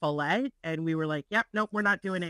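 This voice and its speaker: A woman with a normal speaking voice, fairly low pitch and ordinary pitch variation, in a dry sound with no echo against a quiet background. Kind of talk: meeting discussion. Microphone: video call.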